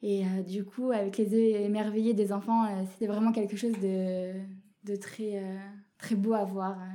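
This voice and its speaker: Her tone is dark and mellow, and this woman has a medium pitch. She speaks at a fairly slow pace in a flat, monotone way. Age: 20s. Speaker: dialysis nurse. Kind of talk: personal testimony. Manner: halting, many hesitations.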